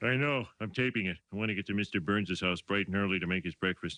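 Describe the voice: A man rattles off a cartoonish character voice at a very fast pace with a fairly low pitch.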